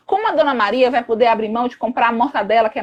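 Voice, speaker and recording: A woman with a high-pitched voice. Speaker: psychologist and anti-racism activist. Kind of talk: live stream discussion. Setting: online live stream. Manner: fast; animated.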